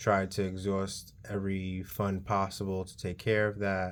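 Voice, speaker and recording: Speaking at a fairly slow pace, a man with a New York accent has a fairly low pitch. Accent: New York City. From New York, the Bronx. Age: 30s. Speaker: vlogger, college student. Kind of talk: casual personal vlog monologue. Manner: halting, many um fillers.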